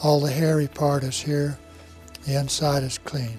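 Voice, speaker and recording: A man's fairly high-pitched voice at a fairly slow pace, with music in the background. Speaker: master barber and barber school teacher. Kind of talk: instructional demonstration talk to camera. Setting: barber shop or school.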